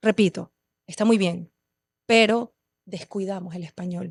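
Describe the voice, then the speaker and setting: A woman speaks at a medium pitch and moderate pace. Her intonation is fairly even, in a dry, close sound with no echo. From Venezuela, Caracas. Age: 30s. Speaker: poet and performer. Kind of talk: podcast interview. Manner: passionate, intense.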